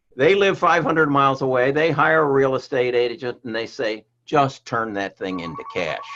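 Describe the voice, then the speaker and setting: A man's fairly high voice at a moderate pace, with very wide pitch swings and hardly any pauses. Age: 70s. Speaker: real estate agent. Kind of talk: podcast interview. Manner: halting, with frequent repetitions.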